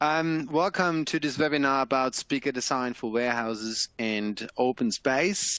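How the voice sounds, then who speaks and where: With a German accent, a man speaks with ordinary pitch variation in a dry, close recording with no echo and a quiet background. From Germany. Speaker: electroacoustic engineer. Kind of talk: webinar presentation. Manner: hesitant, many fillers.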